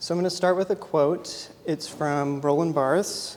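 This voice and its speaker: Monotone, flat intonation at a moderate pace, in an American accent. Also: man. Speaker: photographer. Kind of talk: artist talk. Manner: frequent filler 'um'.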